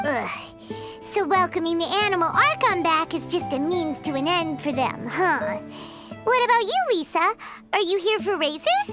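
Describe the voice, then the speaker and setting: Over clear background music, a put-on character voice at an extremely high pitch moves at a moderate pace. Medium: video game. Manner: lively, chatty.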